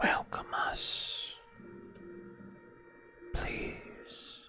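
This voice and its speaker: A man whispers in a put-on character voice. Clear music plays in the background. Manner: whispering.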